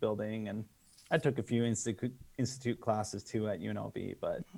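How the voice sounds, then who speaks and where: Speaking fairly quickly, a man has a dark, mellow tone at medium pitch. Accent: General American. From Las Vegas, Nevada, US. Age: 40s. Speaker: film director. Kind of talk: casual interview chat.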